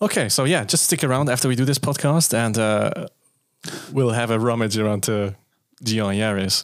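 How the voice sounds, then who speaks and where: An unremarkable speaking voice holds a very even loudness at a moderate pace with ordinary pitch variation. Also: man, medium pitch for a man. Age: 30s. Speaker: car podcast host. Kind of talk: casual chat.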